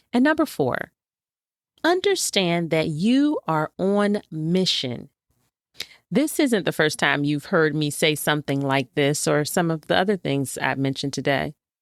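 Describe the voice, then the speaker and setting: A woman speaks with a very deep, low pitch and lively intonation at a fairly slow pace. Her loudness stays very even, and the sound is dry and close with no echo. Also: very clean recording, silent background. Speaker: podcast host. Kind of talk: motivational talk.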